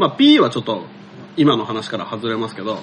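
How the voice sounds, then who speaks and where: A man's voice with noticeable background noise. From Kanagawa, Japan (Sagamihara). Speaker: podcast host. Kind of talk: casual chat.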